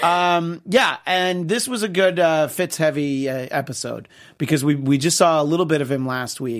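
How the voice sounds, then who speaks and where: The clip is very clean, its background silent. Here an ordinary speaking voice goes at a moderate pace, its pitch shifting in an ordinary way. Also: man, fairly high pitch for a man. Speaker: TV show host. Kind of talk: casual chat about TV shows.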